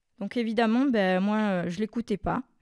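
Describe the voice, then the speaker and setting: A woman with an unremarkable speaking voice talks at a fairly slow pace with fairly even intonation, in a dry, close sound with no echo on a very clean recording with a silent background. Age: 40s. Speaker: childcare worker sharing testimony. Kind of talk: testimony.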